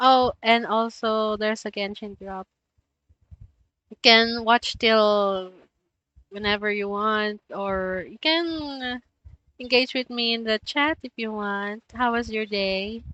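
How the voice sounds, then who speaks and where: A woman with a Filipino accent talks at a fairly high pitch with fairly even intonation. She goes very slowly, with long, frequent pauses and big swings in loudness. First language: Tagalog. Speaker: streamer. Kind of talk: casual live-stream chat. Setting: live stream.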